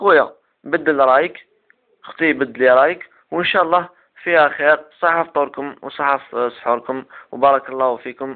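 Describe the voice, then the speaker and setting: This man's voice sits fairly high in pitch, with fairly even intonation. He keeps a moderate pace but leaves long, frequent pauses. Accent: Algerian. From Algeria. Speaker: self-development web show host. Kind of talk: casual advice talk to camera.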